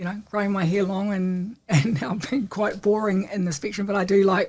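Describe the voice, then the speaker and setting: A woman with a New Zealand accent speaks at a moderate pace with a medium pitch. Her voice is somewhat breathy, with fairly even intonation. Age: 60s. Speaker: entrepreneur. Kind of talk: interview.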